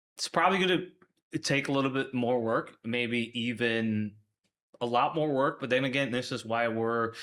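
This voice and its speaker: The man has an American accent. His tone is bright and sharp. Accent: Chicago accent, comes out at times. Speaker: logistics manager. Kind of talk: podcast interview.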